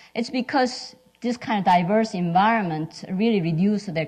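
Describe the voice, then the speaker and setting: A woman speaks with a strong Korean accent. Her pace is moderate. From South Korea. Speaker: physicist and lab scientist. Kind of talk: symposium panel talk. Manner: halting, many fillers.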